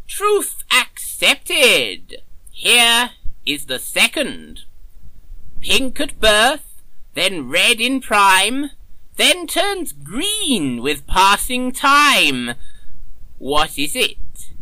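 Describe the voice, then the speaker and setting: A man does a put-on character voice at an extremely high pitch. He goes very slowly, with long, frequent pauses. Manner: genial, slightly absent-minded, theatrical.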